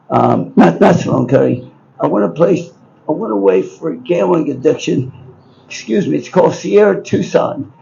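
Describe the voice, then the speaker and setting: A man with an American accent at a moderate pace, with noticeable background noise. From Baltimore, Maryland, US. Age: 80s+. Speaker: businessman and book subject. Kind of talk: storytelling. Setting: bookshop event with live audience. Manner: rambling, halting.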